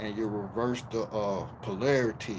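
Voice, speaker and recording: A man is talking at medium pitch. His delivery stays monotone and flat. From Miami, Florida. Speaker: YouTube live streamer. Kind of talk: livestream call-out rant. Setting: livestream. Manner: slow.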